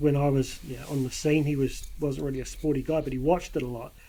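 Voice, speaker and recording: A man speaks with a New Zealand accent. His pace is fairly quick. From New Zealand, Upper Hutt (Wellington). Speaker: sports podcast host. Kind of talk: casual chat.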